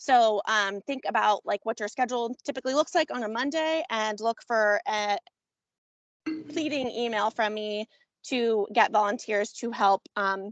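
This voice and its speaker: A woman's fairly high voice, with ordinary pitch variation, comes through with a dry, close sound and no echo. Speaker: commission member organizing an event. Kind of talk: public meeting discussion. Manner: fast; hesitant, many fillers.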